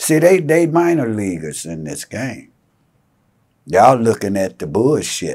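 There is vocal fry as a man speaks at a fairly slow pace against a quiet background. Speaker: interviewee. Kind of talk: interview answer. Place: shop. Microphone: lapel.

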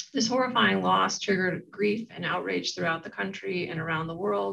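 A woman speaks with a fairly low pitch and vocal fry. Her tone is bright and sharp, with ordinary pitch variation. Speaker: event moderator at a law school. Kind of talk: moderated panel webinar. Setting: online webinar. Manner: halting, many filler words. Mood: earnest, measured. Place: office. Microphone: webcam.

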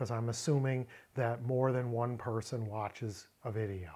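His pitch moves up and down in an ordinary way as the man talks. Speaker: Bible language teacher. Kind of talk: lecture. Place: home room.

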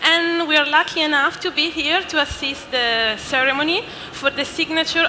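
A woman uses a raised, projected voice at a moderate pace with ordinary pitch variation. Noticeable background noise runs underneath. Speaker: event host. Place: hall. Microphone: headset.

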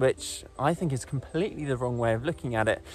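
A man speaks at a moderate pace. The sound is dry with no echo, and faint music plays in the background. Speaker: presenter. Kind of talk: nature vlog explanation. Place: forest. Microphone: phone near.

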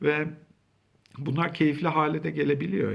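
A man talks at a moderate pace with vocal fry in his voice. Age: 40s. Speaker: school counselor. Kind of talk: talk to camera. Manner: conversational.

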